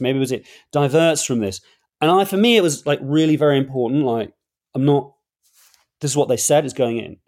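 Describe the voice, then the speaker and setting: Talking very fast with lively intonation, a man with a London accent speaks at a fairly high pitch. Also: very clean recording, silent background. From London, England. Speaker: author and journalist. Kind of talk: interview.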